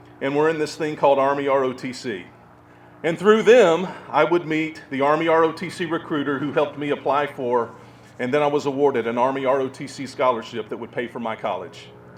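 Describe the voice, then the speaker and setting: Delivered at a fairly quick pace, a man's speech comes in a Southern US accent. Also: fairly high pitch for a man, ordinary pitch variation. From US South. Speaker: war veteran.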